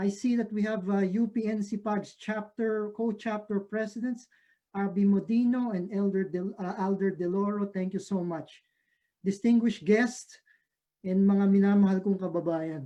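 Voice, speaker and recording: The speaker has a Filipino accent. The pace is moderate. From Philippines. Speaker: professor. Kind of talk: lecture. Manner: halting with many fillers.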